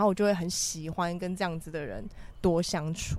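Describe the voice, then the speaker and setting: A woman talks with an unremarkable speaking voice at medium pitch. Her pace is moderate, with ordinary pitch variation. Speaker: podcast co-host. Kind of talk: casual chat. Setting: windy rooftop balcony.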